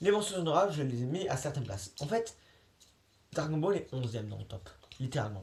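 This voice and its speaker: This man talks at a fairly quick pace. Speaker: YouTuber. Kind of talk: casual vlog monologue. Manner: fast.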